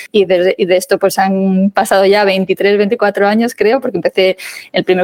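Someone speaks at a fairly slow pace with a Madrid accent, in a dry, close sound with no echo. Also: woman. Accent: Castilian Spanish (Madrid). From Spain, Madrid. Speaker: legal English teacher. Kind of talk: interview.

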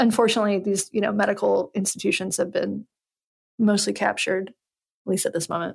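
A woman speaks at a fairly quick pace with very even loudness. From US South, Western North Carolina. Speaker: podcast host and journalist. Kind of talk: casual interview conversation.

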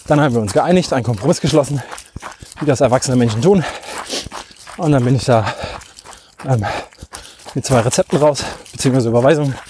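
A medium-pitched man talks at a fairly quick pace with long, frequent pauses over noticeable background noise. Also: ordinary pitch variation. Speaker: podcast host, trail runner. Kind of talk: solo monologue while running. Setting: outdoors in a forest. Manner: halting, many fillers.

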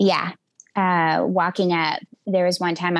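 A woman with a Southern US accent talks at a fairly slow pace and a fairly low pitch with vocal fry, in a dry, close sound with no echo. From West Tennessee. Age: 40s. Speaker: hunter and podcaster. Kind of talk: interview conversation.

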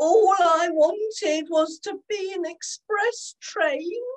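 A woman performs a put-on character voice at an extremely high pitch. She speaks at a very slow pace. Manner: sorrowful.

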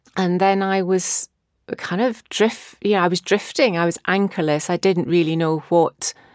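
A woman's fairly low voice with a Scottish accent, fairly slow and fairly even in intonation, in a very clean recording with a silent background and a dry, close sound with no echo. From Scotland. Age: 50s. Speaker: therapist and mindfulness coach. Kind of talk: personal testimony.

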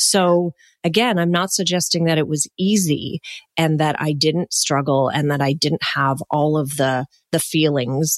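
Recorded dry and close with no echo, a woman with a very deep, low pitch speaks at a fairly slow pace with ordinary pitch variation. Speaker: life coach and podcaster. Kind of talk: interview about grief. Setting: virtual call.

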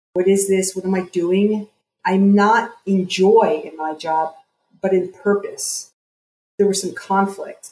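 A woman's very slow, monotone delivery at medium pitch, somewhat breathy and dark and mellow in tone, with an American accent. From US, New Jersey. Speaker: psychotherapist and coach. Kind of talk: interview.

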